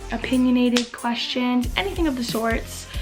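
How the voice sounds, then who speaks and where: Over music in the background, a woman speaks in a high voice with an American accent. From Massachusetts. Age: 20s. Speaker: Disney YouTuber. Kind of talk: casual talk to camera.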